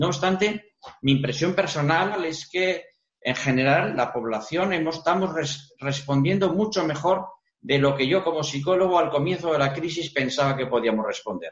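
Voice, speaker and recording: A man's ordinary speaking voice, fairly high in pitch, with ordinary pitch variation and a moderate pace. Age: 60s. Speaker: retired psychologist. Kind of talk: TV interview.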